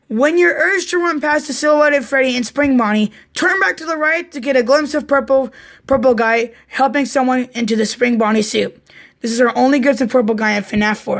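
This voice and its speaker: A raspy, put-on character voice at a fairly quick pace. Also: woman, high pitch for a woman. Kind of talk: casual read-aloud commentary. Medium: solo performance. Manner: casual, stumbling, distracted.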